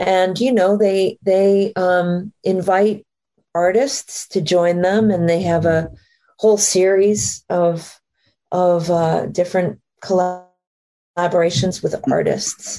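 A woman speaks with an American accent at a medium pitch, in a dark, mellow tone. Her pace is fairly slow, her intonation fairly even, and her loudness very even. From Maine, US (Acadian French family). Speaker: jazz singer. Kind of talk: casual interview chat.

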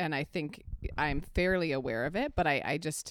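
A woman speaks in a very deep, low voice on a very clean recording with a silent background. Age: 30s. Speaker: nutrition coach and podcast co-host. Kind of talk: casual chat.

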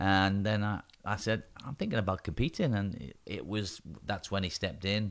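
Heard on a very clean recording with a silent background, a man talks at a moderate pace in a fairly low pitch, with an unremarkable speaking voice. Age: 50s. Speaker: bodybuilding competition promoter. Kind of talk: casual chat. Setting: studio.

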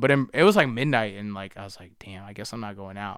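Very fast and in an American accent, a man talks in a very clean recording with a silent background. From Charlotte area, North Carolina (Harrisburg suburbs). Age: 20s. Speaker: rapper. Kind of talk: casual chat.

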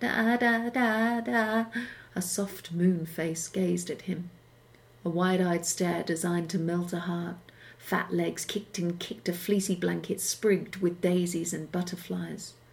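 A somewhat breathy, fairly low-pitched woman's voice, moderate pace and fairly even intonation. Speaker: audiobook narrator. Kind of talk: literary audiobook reading of a science fiction story, narrated for radio.

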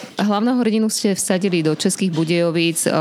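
A woman talks at a fairly quick pace with ordinary pitch variation. There is noticeable background noise. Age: 40s. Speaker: radio host. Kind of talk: interview.

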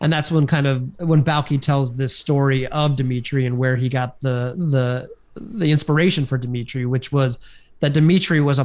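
In an unremarkable speaking voice, a man talks at a moderate pace with fairly even intonation and a fairly high pitch. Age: 30s. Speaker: podcast co-host. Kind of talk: casual chat.

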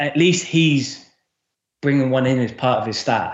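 A man speaks with an English accent. His pitch varies in an ordinary way, and the room echo is audible. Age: 30s. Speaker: football fitness coach. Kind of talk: casual chat.

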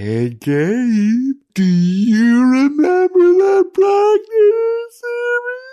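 In a put-on character voice at an extremely high pitch, the speech moves at a very slow pace with hardly any pauses. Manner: creepy.

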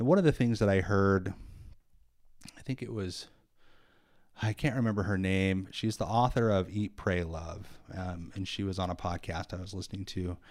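Pausing long and often, a man speaks at a moderate pace and fairly low pitch with ordinary pitch variation. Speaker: podcast co-host. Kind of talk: casual chat. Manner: conversational, hesitant with filler words.

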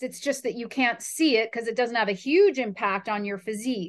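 This woman has a normal speaking voice, fairly high in pitch, with lively intonation. The background is quiet. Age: 40s. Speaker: fitness coach and podcast host. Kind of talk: casual chat.

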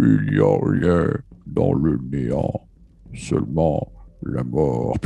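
A man puts on a booming character voice with a very deep, low pitch. He speaks at a very slow pace. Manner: ominous.

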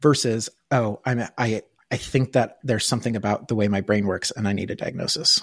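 A man in an unremarkable speaking voice, with an American accent, talks fairly quickly at a medium pitch and fairly even intonation. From rural US. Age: 40s. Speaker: tech innovation lead. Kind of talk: interview conversation.

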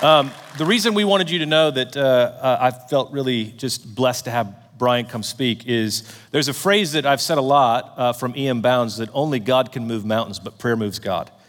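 A man of medium pitch speaks at a moderate pace in an unremarkable speaking voice, with ordinary pitch variation. He leaves hardly any pauses. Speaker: event host. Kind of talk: introduction and prayer. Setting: conference room with audience.

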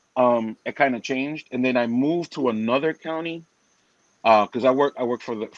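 Against a quiet background, a man with a Spanish accent speaks at a fairly quick pace in a medium pitch with ordinary pitch variation. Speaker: co-host. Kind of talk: casual conversation.

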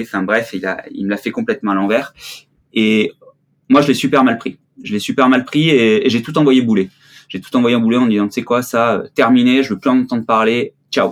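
Fairly quick in pace, a man talks at medium pitch with fairly even intonation. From southern France (Marseille). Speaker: ski photographer. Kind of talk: interview. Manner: hesitant, many fillers.

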